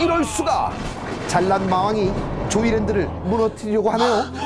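A man's high-pitched voice at a moderate pace with ordinary pitch variation, music playing in the background. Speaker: TV entertainer presenter. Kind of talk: movie highlight narration. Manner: upbeat.

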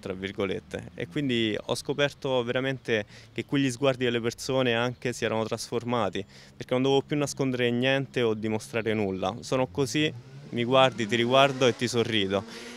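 A normal speaking voice from a man at medium pitch, fairly quick in pace with fairly even intonation. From Rome area, Italy. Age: 20s. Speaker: amputee footballer and author. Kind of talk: interview testimony.

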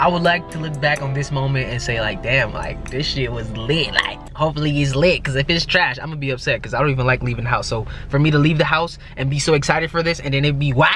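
Over music in the background, a man talks at a very fast pace with hardly any pauses and fairly even intonation, the sound dry with no echo. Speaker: vlogger. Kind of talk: casual vlog chat. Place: car. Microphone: phone near.

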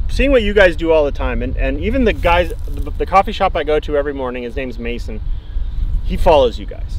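A man rattles along at a very fast pace, the sound dry with no echo and light background noise present. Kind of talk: casual explanation to visitors.

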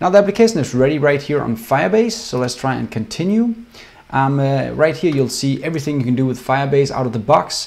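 A man with a Danish accent talks at a very fast pace. His fairly high voice makes very wide pitch swings. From Denmark. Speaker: software developer. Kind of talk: tutorial. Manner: casual, many fillers. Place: home room.

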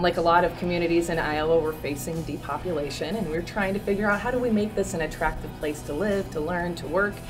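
Over clear music in the background, a woman with a fairly low pitch and ordinary pitch variation talks at a very fast pace with hardly any pauses. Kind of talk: interview answer. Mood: upbeat, enthusiastic. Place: hall.

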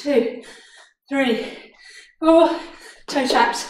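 A high-pitched woman at a very slow pace, with ordinary pitch variation and audible room echo. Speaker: fitness instructor. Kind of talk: workout instruction. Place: home room. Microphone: camera far.

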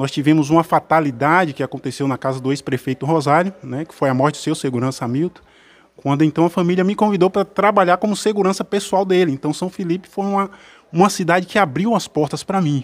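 Very fast and fairly high in pitch, a man rattles through his words. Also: ordinary pitch variation. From Cruz das Almas, Bahia; Bahia. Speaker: military police officer and council candidate; council candidate. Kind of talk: radio interview. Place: studio. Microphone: studio mic.

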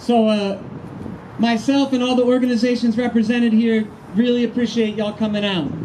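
A man talks at a moderate pace with an extremely high pitch over light background noise. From Baltimore. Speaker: activist organizer. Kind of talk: press conference. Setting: outdoors. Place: street. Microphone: handheld.

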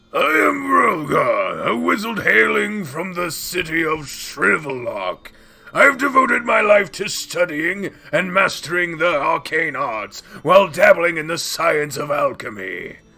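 A man puts on a character voice, pitched high and delivered at a fairly slow pace. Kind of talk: theatrical role-play voice. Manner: pompous, scholarly.

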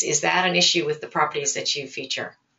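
A woman's normal speaking voice, fairly low in pitch, at a fairly quick pace. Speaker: webinar host. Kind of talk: webinar moderation. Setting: webinar.

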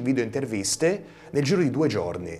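The pitch swings very widely. The pace is fairly quick. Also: man. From Tuscany, Versilia (Pietrasanta); Tuscany, Italy. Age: 20s. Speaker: young TV director and videomaker; guest. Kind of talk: TV studio interview.

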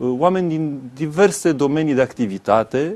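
The speaker is a man with a fairly high pitch. His voice moves in very wide pitch swings. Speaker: party youth leader. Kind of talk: interview answer. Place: studio. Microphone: lapel.

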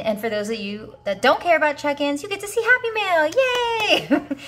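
Faint music sits behind a woman speaking in an upbeat tone. Her pitch swings very widely. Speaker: budgeting YouTuber. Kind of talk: casual talk to camera. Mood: warm, grateful, upbeat.

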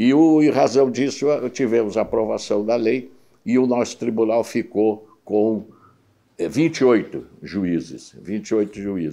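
A dark, mellow tone at a very slow pace, with ordinary pitch variation and a quiet background. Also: man, medium pitch for a man. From Porto Alegre, southern Brazil; Rio Grande do Sul, Brazil. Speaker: retired judge. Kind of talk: interview. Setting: at home. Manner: halting, frequent repetitions. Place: home room. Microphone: lapel.

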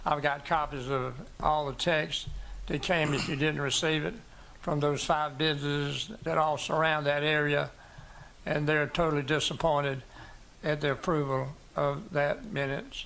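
Speaking with a South Carolina accent, a man talks at a moderate pace with fairly even intonation and long, frequent pauses. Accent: South Carolina Southern. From US South. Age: 80s+. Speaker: doctor speaking at public hearing. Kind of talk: public comment at a planning commission meeting.

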